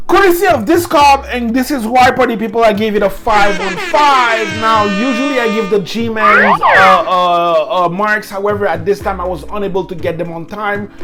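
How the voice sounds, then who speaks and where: Backed by music and audible room echo, a woman speaks with lively intonation. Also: fairly high pitch for a woman, moderate pace. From Quebec. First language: French. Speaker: hip hop podcast host. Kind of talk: music review podcast. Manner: hesitant, many fillers.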